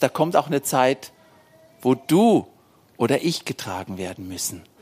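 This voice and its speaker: Speaking at a very slow pace, the man's pitch swings very widely. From Germany, Hesse. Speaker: missionary. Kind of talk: church interview.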